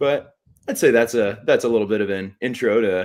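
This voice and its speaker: At a fairly quick pace, a man talks in a plain, everyday voice with a fairly low pitch. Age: 20s. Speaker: teacher and activist. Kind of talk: interview. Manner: articulate.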